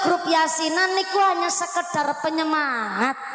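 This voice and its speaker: A woman speaks at a moderate pace with ordinary pitch variation, amid audible room echo and noticeable background noise. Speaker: female Islamic preacher. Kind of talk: sermon. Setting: stage with audience, PA system. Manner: animated. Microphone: echo on the sound system.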